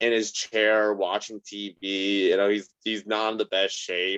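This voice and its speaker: A man's fairly low voice, monotone and flat in intonation, with a dry, close sound and no echo. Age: 20s. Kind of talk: casual chat.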